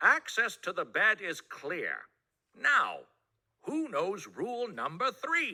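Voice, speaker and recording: Speaking very slowly, a man uses a put-on character voice pitched extremely high. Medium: read story. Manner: formal, instructive.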